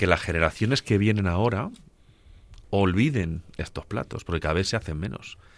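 In a very clean recording with a silent background, a man with a plain, everyday voice speaks in a fairly low pitch with lively intonation. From Spain, Ciudad Real (Agudo). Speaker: radio co-host. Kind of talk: radio talk show; scripted narration.

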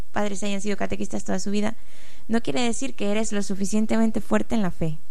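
Speaking with a Honduran accent, a woman uses a medium pitch and ordinary pitch variation. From Honduras, Tegucigalpa. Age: 30s. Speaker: diocesan family office secretary. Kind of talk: radio interview, testimony.

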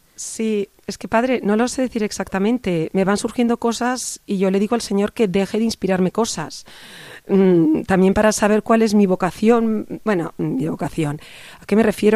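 A woman speaks at a fairly quick pace in a medium pitch, with a dark, mellow tone and ordinary pitch variation. The recording is very clean and the background silent. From Spain, Barcelona (Catalonia). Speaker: parish youth volunteer. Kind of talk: radio interview. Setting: studio.

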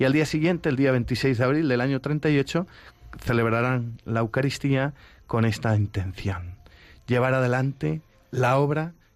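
Against a silent background on a very clean recording, a man with an unremarkable speaking voice talks fairly slowly at a medium pitch with ordinary pitch variation. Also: very even loudness. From Spain, Madrid. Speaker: priest, seminary spiritual director. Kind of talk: radio interview.

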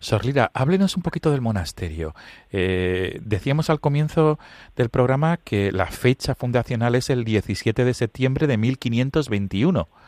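This man has a plain, everyday voice at medium pitch, talking at a fairly slow pace with lively intonation, and the recording is very clean with a silent background and a dry, close sound with no echo. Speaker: priest and radio host. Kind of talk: radio interview.

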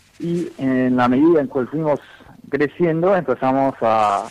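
A man with an English accent speaks fairly slowly at a medium pitch. The sound is dry and close, with no echo. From US, Dallas, Texas. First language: English (speaking Spanish). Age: young. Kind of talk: radio interview. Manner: halting.

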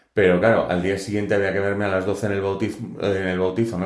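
A man with a fairly low pitch rushes at a very fast pace in a flat monotone, with audible room echo around him. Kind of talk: testimony.

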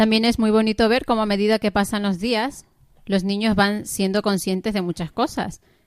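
The recording is very clean, with a silent background. A woman talks at a moderate pace and a fairly high pitch. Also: fairly even intonation. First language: English (speaking Spanish). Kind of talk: radio interview. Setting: studio.

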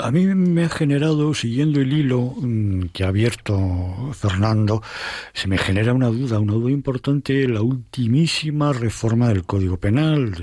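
A man with a medium pitch and lively intonation speaks at a moderate pace, sounding somewhat breathy on a very clean recording with a silent background. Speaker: lawyer. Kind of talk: expert discussion.

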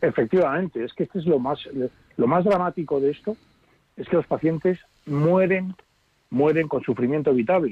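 Speaking at a moderate pace, a man with a fairly high pitch and ordinary pitch variation leaves long, frequent pauses. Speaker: palliative care doctor. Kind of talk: radio interview.

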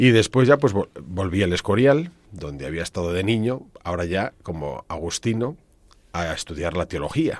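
A man's very deep, low voice at a moderate pace, with lively intonation, in a very clean recording against a silent background. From Spain, Ávila province (Castile). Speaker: priest and church organist. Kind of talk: radio interview. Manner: hesitant, with fillers and repeated words.

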